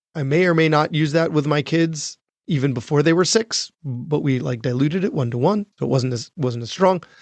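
A plain, everyday voice from a man with an American accent, fairly high in pitch, at a fairly quick pace with ordinary pitch variation. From US Northeast, Long Island, New York. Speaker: physician and podcast host. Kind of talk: casual chat.

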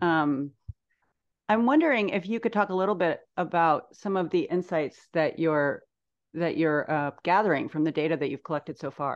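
In an American accent, a woman with an ordinary speaking voice talks at a moderate pace. Her pitch is fairly low with ordinary variation, and the background is quiet. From US Midwest. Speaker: podcast co-host. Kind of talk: interview.

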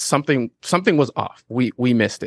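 A man with an ordinary speaking voice talks at a fairly quick pace and a medium pitch, with ordinary pitch variation. The sound is dry and close with no echo, and the background is quiet. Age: 40s. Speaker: podcast production entrepreneur. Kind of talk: casual interview chat.

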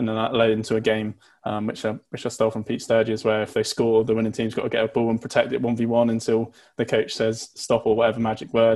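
Very fast speech from a man at a medium pitch. His intonation is monotone and flat. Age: 20s. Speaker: youth football coach. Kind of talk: casual chat.

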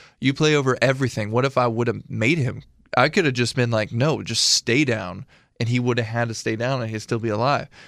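An ordinary speaking voice with an American accent, fairly quick and fairly even in intonation, on a very clean recording with a silent background. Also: man, medium pitch for a man. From Illinois. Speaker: military veteran and artist. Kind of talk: casual interview chat.

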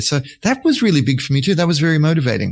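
In an Australian accent, a man talks on a very clean recording against a silent background. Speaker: scale model artist and author. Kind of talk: interview.

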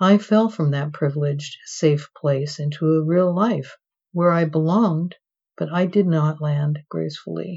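A woman's very deep, low voice, somewhat breathy, at a fairly slow pace. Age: old. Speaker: memoir author. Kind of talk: reading aloud.

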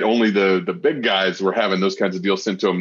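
A normal speaking voice with ordinary pitch variation, at a fairly quick pace. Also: man. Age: 30s. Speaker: podcast host and real estate investor. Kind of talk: casual interview.

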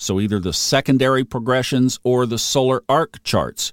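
In an unremarkable speaking voice, a man of medium pitch talks at a moderate pace on a very clean recording, dry and close with a silent background and no echo. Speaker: astrology podcast host. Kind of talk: podcast answering listener question. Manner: informal, conversational.

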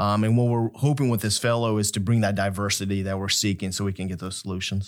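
Speaking at a fairly quick pace with an American accent, a man uses an ordinary speaking voice with fairly even intonation. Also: very clean recording, silent background. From Kansas, US Midwest. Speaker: academic director, retired army officer. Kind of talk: interview chat.

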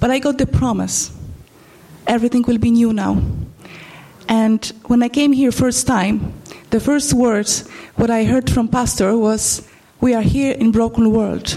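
A woman with a Polish accent, fairly high pitch and fairly even intonation, at a fairly slow pace with long, frequent pauses. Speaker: church member. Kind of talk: testimony. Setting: church. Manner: halting.

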